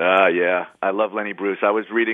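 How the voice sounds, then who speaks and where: In a New York accent, a man speaks with a fairly low pitch and monotone, flat intonation. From New York City (Bronx). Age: 50s. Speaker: rock guitarist. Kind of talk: interview.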